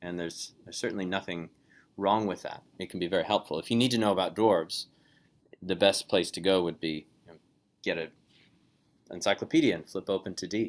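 The voice is quiet, with fairly even intonation. It moves at a fairly quick pace yet leaves long, frequent pauses. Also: man, very deep, low pitch for a man. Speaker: Bible course teacher. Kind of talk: online lecture. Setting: video call.

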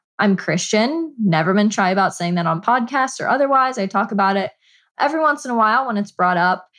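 In a normal speaking voice, a woman talks at a fairly quick pace with a fairly high pitch and lively intonation against a quiet background. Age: 20s. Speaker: cosplayer and YouTuber. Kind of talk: casual interview chat.

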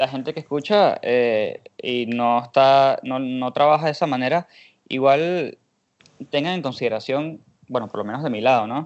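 A man's plain, everyday voice at medium pitch, with ordinary pitch variation and a moderate pace. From Venezuela. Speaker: podcast host. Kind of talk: casual interview chat.

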